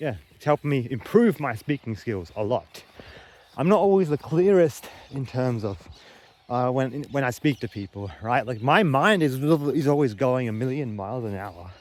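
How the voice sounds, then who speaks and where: Against noticeable background noise, a man with an Australian accent talks at a moderate pace and medium pitch, with lively intonation and big swings in loudness. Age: 20s. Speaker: vlogger. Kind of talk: vlog monologue. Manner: halting.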